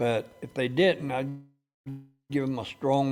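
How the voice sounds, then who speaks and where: A man talks at a medium pitch. Behind him, music can be heard. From US Midwest, Cincinnati, Ohio. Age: 70s. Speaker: war veteran. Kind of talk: interview. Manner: halting.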